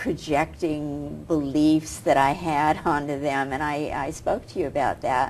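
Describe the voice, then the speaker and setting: A woman's very deep, low-pitched voice at a very slow pace. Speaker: talk show host. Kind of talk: casual talk show conversation.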